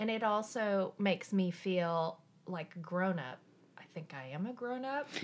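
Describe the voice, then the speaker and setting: Speaking in a slight Southern Appalachian accent, a woman has a medium pitch and lively intonation. Her pace is fairly slow. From eastern Tennessee, Appalachia. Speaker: coworker guest, adoptee. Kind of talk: casual chat. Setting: at her home.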